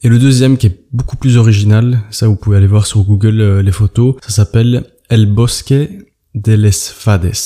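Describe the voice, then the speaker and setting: Somewhat breathy and dark, mellow in tone, the man's fairly low voice keeps fairly even intonation at a moderate pace. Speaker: travel podcaster. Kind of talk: casual solo monologue. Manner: halting, many hesitations.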